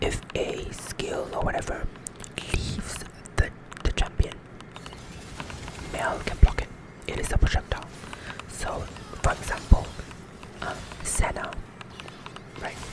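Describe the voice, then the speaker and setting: A man whispering at a fairly slow pace, with big swings in loudness and music in the background. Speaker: gaming ASMR creator, League of Legends support player. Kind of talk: casual gameplay commentary to camera.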